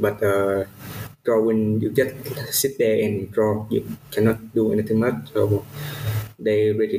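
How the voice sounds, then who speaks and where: A man talks with monotone, flat intonation at a fairly low pitch. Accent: Vietnamese. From Vietnam. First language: Vietnamese. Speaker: character designer. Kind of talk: interview. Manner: halting.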